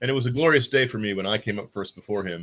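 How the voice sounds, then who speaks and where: A man speaks at a very fast pace. The recording is very clean, with a silent background. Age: 60s. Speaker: science fiction author. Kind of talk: casual chat. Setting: live stream. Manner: halting.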